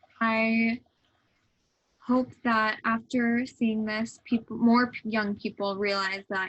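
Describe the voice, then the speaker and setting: At a fairly slow pace, a woman speaks with a fairly high pitch and fairly even intonation. It is an unremarkable speaking voice. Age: 20s. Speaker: student interviewer. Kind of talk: scripted narration.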